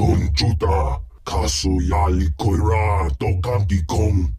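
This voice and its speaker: A man's put-on character voice, growling and very deep in pitch, at a fairly slow pace. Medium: video game. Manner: imperious, speaking in an alien tongue.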